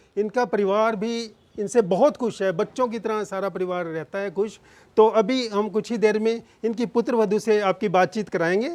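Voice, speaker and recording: This man's voice sits high in pitch. The pitch moves in an ordinary way. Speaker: interviewer and channel host. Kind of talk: casual talk to camera.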